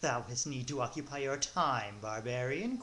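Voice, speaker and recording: A put-on character voice sits at a low-to-middle pitch and moves at a moderate pace. Clear background noise runs underneath. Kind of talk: mock-archaic speech. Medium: read story. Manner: flirtatious, breathy.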